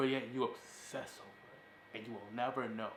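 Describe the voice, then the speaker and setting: An animated tone comes through with audible room echo. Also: man. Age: 20s. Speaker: podcast host. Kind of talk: casual chat. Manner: fast.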